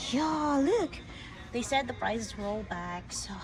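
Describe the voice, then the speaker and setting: Over music in the background, a woman mumbles at a very slow pace. Her pitch swings very widely. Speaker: crochet vlogger. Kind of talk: casual shopping vlog. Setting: in a store. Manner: mumbling.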